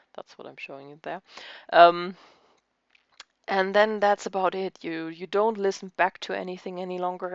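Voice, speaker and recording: A woman speaks with a German accent. Her fairly low voice stays monotone and flat. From Germany. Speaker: crafting YouTuber. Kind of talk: casual chat. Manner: halting.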